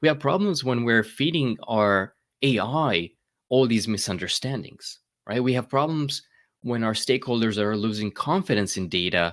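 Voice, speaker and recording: A man with a slight Romanian accent at a moderate pace, on a very clean recording with a silent background. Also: medium pitch for a man, lively intonation. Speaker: data management speaker, YouTuber. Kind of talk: conference keynote. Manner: hesitant fillers and repetitions.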